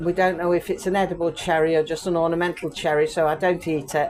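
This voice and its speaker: A woman with an English accent at a fairly low pitch, fairly even intonation and moderate pace, over noticeable background noise. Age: 60s. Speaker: vlogger. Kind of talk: garden tour vlog. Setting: outdoors in garden. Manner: casual, meandering.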